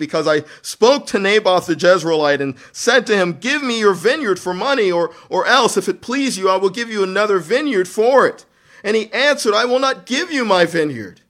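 A man puts on a whiny character voice, pitched high for a man. He talks at a moderate pace with hardly any pauses. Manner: whining.

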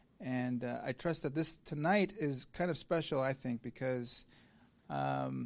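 The background stays quiet. The speaker talks fairly slowly. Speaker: founder of an online sermon platform, introducing the speaker. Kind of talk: introduction of a guest speaker. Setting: live lecture hall with audience.

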